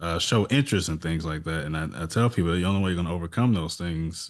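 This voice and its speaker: A man's very deep, low voice in an American accent against a quiet background. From St. Louis, Missouri. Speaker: podcast host. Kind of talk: podcast interview.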